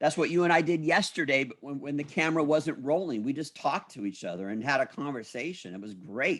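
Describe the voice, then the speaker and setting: Rushing along at a very fast pace, a man with a fairly high voice and vocal fry speaks in an animated tone with lively intonation, in a very clean recording with a silent background. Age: 60s. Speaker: motivational speaker and business owner. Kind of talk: interview conversation.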